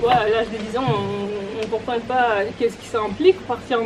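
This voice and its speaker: Woman with a Romanian accent, fairly high pitch, fairly even intonation and moderate pace, over noticeable background noise. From Moldova, moved to Russia at ten. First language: Romanian (speaking French). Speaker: speaker telling her life story. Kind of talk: personal testimony talk. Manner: hesitant, many fillers.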